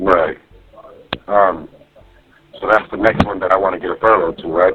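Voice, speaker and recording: A man's very deep, low voice stays monotone, with flat intonation. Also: moderate pace. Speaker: jail inmate. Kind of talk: phone call. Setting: jail phone call. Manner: loud. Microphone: muffled jail phone line.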